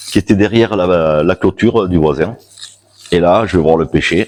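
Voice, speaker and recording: A man with a very deep, low pitch and ordinary pitch variation, in a dry, close sound with no echo. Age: 50s. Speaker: shamanism practitioner giving a talk. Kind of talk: public talk with personal storytelling. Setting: stage with audience at a fair. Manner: loud.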